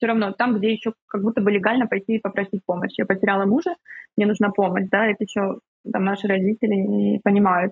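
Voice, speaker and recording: A woman speaks at a very fast pace in a medium pitch, with fairly even intonation and very even loudness. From Ukraine. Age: 30s. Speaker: psychotherapist. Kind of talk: casual chat.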